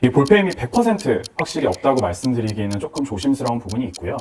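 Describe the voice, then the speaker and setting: A man at medium pitch with a very fast pace and very wide pitch swings, over noticeable background noise. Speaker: dermatology clinic doctor. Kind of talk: Q&A explainer video.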